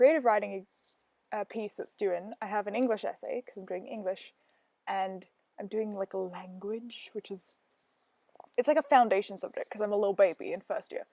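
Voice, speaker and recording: With an Australian accent, a woman speaks at a fairly high pitch in a dark, mellow tone, and the sound is dry and close, with no echo. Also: very clean recording, silent background. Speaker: gaming video creator. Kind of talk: casual gameplay voiceover. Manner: chatty, rambling with fillers.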